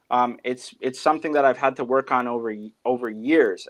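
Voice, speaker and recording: A man talks in a normal speaking voice at medium pitch. His pace is moderate and his intonation fairly even. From Ontario, Canada (Hamilton area). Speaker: musician. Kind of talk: interview. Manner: casual, filler-heavy.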